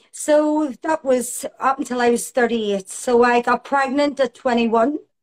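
In a Belfast accent, the speaker goes at a fairly slow pace with ordinary pitch variation, in a dry, close sound with no echo. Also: woman. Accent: Belfast Northern Irish. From Northern Ireland, Belfast. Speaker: aesthetics nurse practitioner. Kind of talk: interview.

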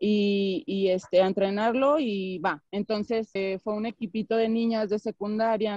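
A woman at a medium pitch with a dark, mellow tone, ordinary pitch variation and a fairly slow pace, in dry, close sound with no echo. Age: 30s. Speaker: basketball coach. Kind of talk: interview. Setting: video call.

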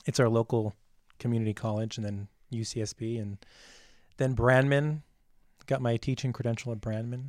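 In an American accent, a man at medium pitch speaks fairly quickly with fairly even intonation and long, frequent pauses, in a dry, close sound with no echo on a very clean recording with a silent background. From Santa Maria, California. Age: 30s. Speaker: teacher and podcaster. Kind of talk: casual chat.

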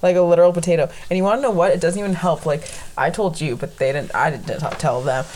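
A woman's very fast, fairly low-pitched speech with ordinary pitch variation, over noticeable background noise. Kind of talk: casual chat. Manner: loud talker.

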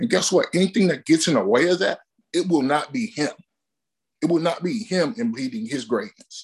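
This man's high voice moves through very wide pitch swings. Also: moderate pace. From Alabama. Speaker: powerlifting coach. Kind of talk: casual interview.

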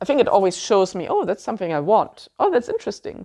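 A woman with a German accent. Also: quiet background. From Germany. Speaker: podcast host. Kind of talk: solo podcast monologue, informative talk. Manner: conversational, halting with fillers.

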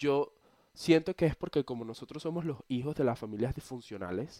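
Over a silent background in a very clean recording, a man talks at a moderate pace in a fairly high voice with a dark, mellow tone and ordinary pitch variation. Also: dry, close sound with no echo. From eastern Venezuela, Cumaná. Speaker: podcaster. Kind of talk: casual monologue. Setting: bedroom, recording on laptop.

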